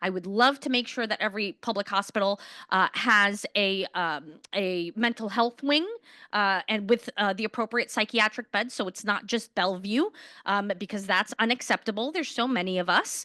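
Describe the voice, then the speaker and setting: Loud and bright-toned with a sharp edge, a woman speaks with a New York accent at a medium pitch, with ordinary pitch variation and a moderate pace. The sound is dry and close with no echo, and the background is quiet. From Queens, New York City. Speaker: politician, mayoral candidate. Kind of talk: candidate forum answers.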